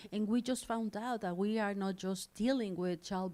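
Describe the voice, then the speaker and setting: On a very clean recording with a silent background, a woman with a Spanish accent speaks at a fairly slow pace with fairly even intonation. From Mexico. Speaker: nonprofit leader. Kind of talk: speech to audience.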